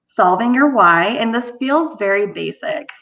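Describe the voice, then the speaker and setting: Against a quiet background, the talking keeps a moderate pace. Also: woman. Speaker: marketing presenter. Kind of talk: webinar presentation.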